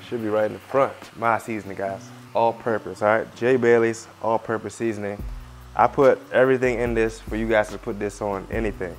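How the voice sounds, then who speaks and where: Fairly quick pace over music in the background. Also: man. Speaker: fitness cooking creator. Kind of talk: casual cooking tutorial. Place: kitchen. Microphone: lapel.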